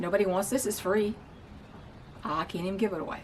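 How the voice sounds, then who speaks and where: The woman here talks at a fairly quick pace. Noticeable background noise can be heard. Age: 60s. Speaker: wig reviewer. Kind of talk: casual vlog talk. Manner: halting, with repetitions.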